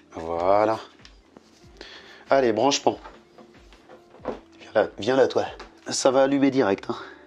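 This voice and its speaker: A man at medium pitch speaks very slowly with ordinary pitch variation and long, frequent pauses. His loudness swings a lot, and background noise is noticeable. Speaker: DIY youtuber. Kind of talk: tutorial. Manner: casual.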